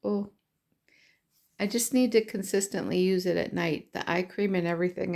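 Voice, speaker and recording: A woman at medium pitch with fairly even intonation. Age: 60s. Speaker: puzzle hobbyist vlogger. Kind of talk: casual vlog monologue. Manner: rambling, filler-heavy.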